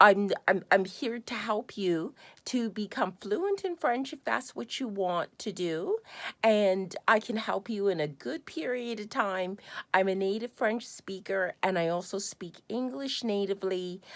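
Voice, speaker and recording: Fairly slow speech from a woman with a Canadian accent, medium in pitch with ordinary pitch variation, on a very clean recording with a silent background. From Canada. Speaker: language tutor. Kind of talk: sales pitch. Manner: halting.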